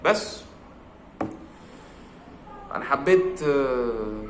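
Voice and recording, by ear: Audible room echo surrounds a man whose tone is fairly bright.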